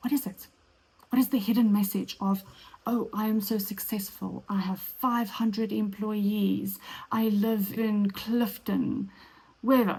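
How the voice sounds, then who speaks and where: With a South African accent, a woman speaks at a fairly slow pace in a medium pitch, her delivery monotone and flat, her tone dark and mellow, and somewhat breathy. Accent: Afrikaans South African, rolled R. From South Africa, Afrikaans small town. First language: Afrikaans. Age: 30s. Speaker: podcast host. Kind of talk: solo podcast monologue.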